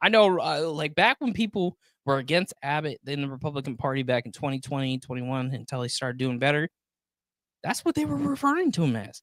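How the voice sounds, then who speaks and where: Animated in tone, a man talks at a fairly quick pace and fairly high pitch with ordinary pitch variation, the sound dry and close with no echo. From Flint, Michigan. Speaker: political podcast host. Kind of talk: casual political chat.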